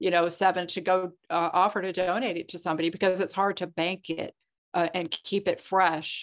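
A plain, everyday voice from a woman, medium in pitch, at a moderate pace against a quiet background. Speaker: physician and writer. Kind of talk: interview discussion.

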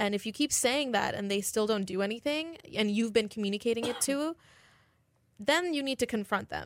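The recording is very clean, with a silent background. A normal speaking voice carries lively intonation at a moderate pace. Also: woman, fairly high pitch for a woman. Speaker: college radio host. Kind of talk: casual chat. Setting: studio.

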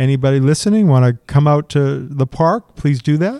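Recorded with a dry, close sound and no echo, a man with an American accent speaks in a fairly high pitch and a dark, mellow tone, with ordinary pitch variation. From Massachusetts (Methuen). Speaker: city fleet official. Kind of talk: interview. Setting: conference recording.

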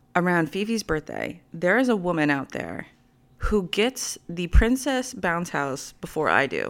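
Her voice shows vocal fry as this woman's pitch swings very widely. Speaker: podcast host. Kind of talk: casual monologue. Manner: many fillers.

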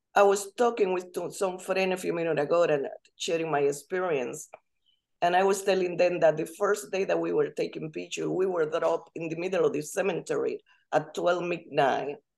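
Fairly quick, fairly even speech with a Spanish accent. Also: woman, fairly low pitch for a woman. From Dominican Republic. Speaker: language instructor. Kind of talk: casual chat.

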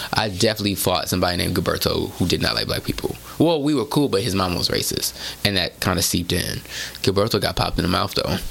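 With an American accent, a man with a very deep, low pitch talks at a very fast pace against noticeable background noise. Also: lively intonation. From Houston, Texas. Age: 30s. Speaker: journalist and author. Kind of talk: casual chat.

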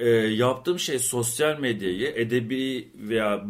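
Using an unremarkable speaking voice, a man talks at a medium pitch, with ordinary pitch variation. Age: 30s. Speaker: art historian and podcast co-host. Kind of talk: casual chat.

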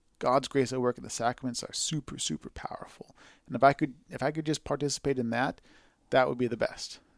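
A man with a Californian accent talks very fast at a medium pitch, the sound dry and close with no echo. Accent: Californian American. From Southern California, San Fernando Valley. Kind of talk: casual chat.

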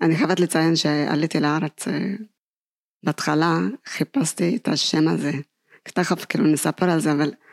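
In a very clean recording with a silent background and a dry, close sound with no echo, a woman with an Ethiopian accent speaks in a very deep, low voice at very even loudness, with ordinary pitch variation and long, frequent pauses. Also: fairly slow pace. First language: Amharic (speaking Hebrew). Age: 50s. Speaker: kindergarten teacher and author. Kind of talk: personal testimony.

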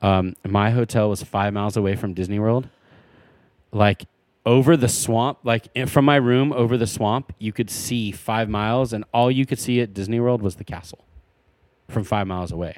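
In a dry, close sound with no echo, a man with a plain, everyday voice speaks at a medium pitch and moderate pace with fairly even intonation. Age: 30s. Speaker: podcast co-host. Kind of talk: casual chat.

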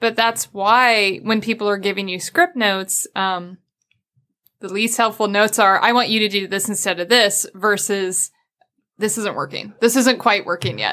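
A woman with an American accent, medium pitch and a bright, sharp tone, at a moderate pace with ordinary pitch variation, in a very clean recording with a silent background. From US Midwest. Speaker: video game writer, former journalist. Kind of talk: casual interview chat.

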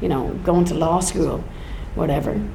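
A woman's fairly quick speech against noticeable background noise. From Ireland. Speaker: folk singer. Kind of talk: live podcast interview. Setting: stage with live audience.

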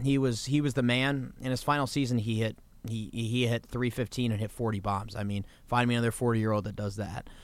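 A man with an unremarkable speaking voice and an American accent, at medium pitch, a fairly quick pace and fairly even intonation. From Washington, D.C. area. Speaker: college student. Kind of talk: casual chat.

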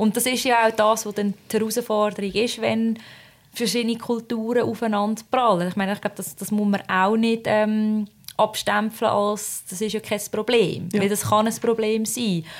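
A fairly high-pitched woman's voice at a moderate pace, in monotone, flat intonation. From Switzerland. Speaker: podcast co-host. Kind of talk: casual chat.

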